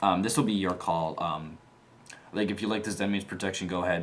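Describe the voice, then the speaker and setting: Amid audible room echo, a man speaks with a very deep, low pitch and a monotone, flat intonation. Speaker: gaming channel host, card game player. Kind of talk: tutorial. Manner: stuttering, many fillers; casual, filler-heavy.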